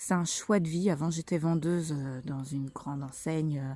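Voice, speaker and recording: The woman's tone is dark and mellow. The recording is very clean, with a silent background. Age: 30s. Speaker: mother vlogger. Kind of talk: casual vlog monologue. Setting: outdoors on a walk. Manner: hesitant, many fillers.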